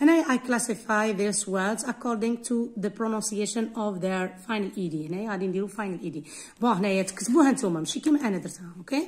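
A woman speaks at a fairly quick pace with a fairly high pitch and lively intonation. Her voice is somewhat breathy. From Algeria. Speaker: English teacher. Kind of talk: tutorial. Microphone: phone near.

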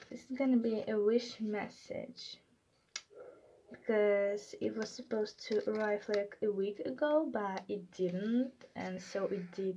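A woman's fairly high, somewhat breathy voice with a dark, mellow tone and a non-native accent, at a very slow pace with ordinary pitch variation over light background noise. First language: not English. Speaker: collector unboxing mail. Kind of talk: casual unboxing talk to camera. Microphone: phone near.

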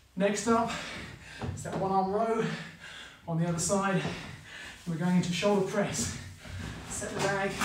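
Amid noticeable background noise and audible room echo, a man talks at a moderate pace with a high pitch and fairly even intonation. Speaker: fitness instructor. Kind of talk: workout instruction. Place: gym.

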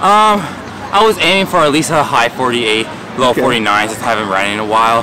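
Crowd noise fills the background as a man talks at a fairly quick pace. The sound is dry with no echo. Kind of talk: interview answer. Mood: calm, pleased after win. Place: stadium.

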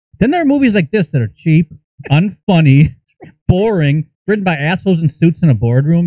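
Fairly quick, lively speech with a dark, mellow tone and a dry, close sound with no echo. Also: man.

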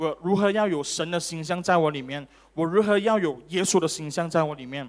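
The tone is animated, with ordinary pitch variation. The background is quiet. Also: man. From Malaysia. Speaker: preacher. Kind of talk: sermon; preacher in full flow, rousing sermon with crowd call-and-response. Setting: church. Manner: animated, interactive, repeated OK and Amen calls to congregation; fervent, emphatic, urging in full flow. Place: church. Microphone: handheld.

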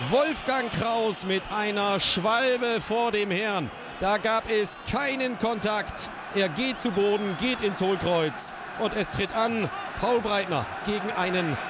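Over noticeable background noise, a man speaks in a dramatic tone at a high pitch and a very slow pace, with ordinary pitch variation and very even loudness. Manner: rising excitement as the match turns dramatic.

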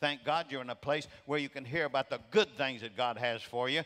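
At a fairly quick pace, a man with a bright, sharp tone speaks against a quiet background. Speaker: preacher. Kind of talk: sermon. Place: church. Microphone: headset.

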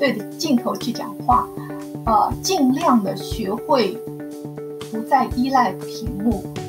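A woman's very slow speech over clear background music. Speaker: novice livestream host. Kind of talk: casual talk to camera. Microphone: webcam.

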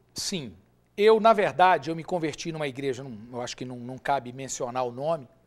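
A man at a fairly quick pace with lively intonation and big swings in loudness, over a quiet background. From Brazil, Minas Gerais (Ipatinga); Minas Gerais, Brazil. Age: 40s. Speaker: businessman, former volleyball player; interview guest. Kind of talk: interview testimony. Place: studio. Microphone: lapel.

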